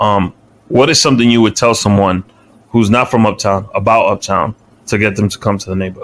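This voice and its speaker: Fairly low in pitch, a man speaks with fairly even intonation. He moves at a fairly quick pace. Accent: New York. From New York City, Washington Heights. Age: 30s. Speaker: podcast host. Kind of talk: casual chat.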